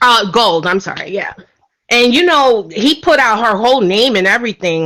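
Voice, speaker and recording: A woman with a New York accent at a fairly slow pace. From New York City, Brooklyn. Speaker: caller. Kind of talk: casual chat. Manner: loud.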